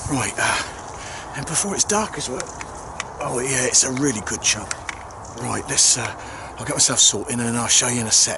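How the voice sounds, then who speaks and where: A man at a moderate pace with lively intonation and long, frequent pauses, over noticeable background noise. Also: dry sound with no echo. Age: 50s. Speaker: angling video maker. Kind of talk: casual vlog narration. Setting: outdoors. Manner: hesitant, filler-heavy. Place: open country. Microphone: phone near.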